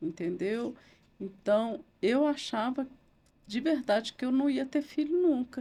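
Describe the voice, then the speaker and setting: At a very slow pace, a voice with a dark, mellow tone and lively intonation comes through on a very clean recording with a silent background. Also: woman, high pitch for a woman. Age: 60s. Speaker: lawyer and writer. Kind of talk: interview testimony.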